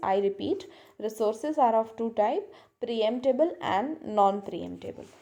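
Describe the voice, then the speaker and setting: A woman's fairly high-pitched voice, dark and mellow in tone, with lively intonation at a fairly slow pace. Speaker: lecturer. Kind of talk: lecture.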